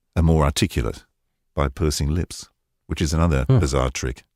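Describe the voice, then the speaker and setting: This man's very deep, low voice carries vocal fry and ordinary pitch variation at a fairly quick pace. The sound is dry and close, with no echo. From North London. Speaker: voice-over artist. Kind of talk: interview answer. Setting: remote connection from home studio.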